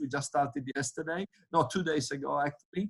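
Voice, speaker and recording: A fairly high-pitched man keeps a moderate pace, and his pitch varies in an ordinary way. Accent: Italian. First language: Italian. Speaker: winemaker. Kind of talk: virtual tasting panel chat. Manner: halting, many fillers.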